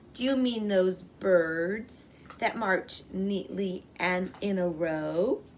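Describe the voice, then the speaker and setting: A woman does a loud, put-on character voice at medium pitch. She goes at a very slow pace over clear background noise. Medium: read story. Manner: loud, hearty.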